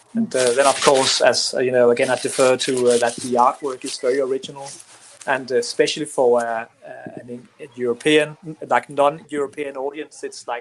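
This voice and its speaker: Noticeable background noise sits behind a man who speaks at a moderate pace with a fairly high pitch, fairly even intonation, and big swings in loudness. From Denmark. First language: Danish. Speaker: comic book writer. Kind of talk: interview. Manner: halting.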